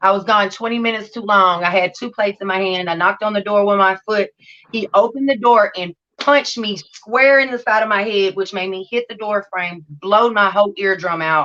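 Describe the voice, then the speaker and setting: The voice is loud. Its pitch varies in an ordinary way. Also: woman, medium pitch for a woman. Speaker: recovery channel host sharing her story. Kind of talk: testimony. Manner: unusual speech due to hearing loss.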